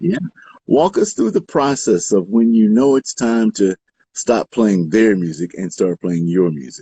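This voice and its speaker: A man with a plain, everyday voice speaks at a fairly slow pace and a fairly low pitch, with lively intonation. The sound is dry and close, with no echo. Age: 60s. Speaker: radio host. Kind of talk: radio interview.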